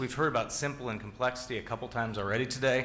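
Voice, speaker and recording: A man speaks at a medium pitch, with noticeable background noise and audible room echo. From US Pacific Northwest, Seattle. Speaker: tech executive, keynote speaker. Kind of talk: conference keynote. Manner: conversational with many fillers.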